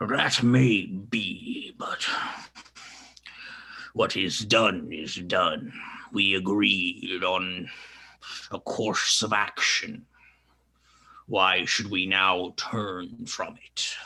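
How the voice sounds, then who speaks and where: Putting on a character voice, a fairly low-pitched man speaks at a very slow pace with long, frequent pauses. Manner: haughty.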